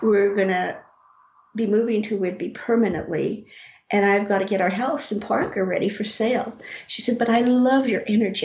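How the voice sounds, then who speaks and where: This woman talks at a moderate pace in an American accent, her pitch fairly high with ordinary variation. Audible room echo surrounds her voice. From Colorado, US (Rocky Ford). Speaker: author and psychic medium. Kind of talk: casual interview.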